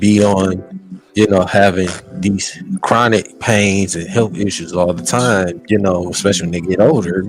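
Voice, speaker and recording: A man's fairly low, fairly even voice at a fairly slow pace, with music behind him. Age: 30s. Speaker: podcast co-host. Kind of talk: casual chat. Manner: halting.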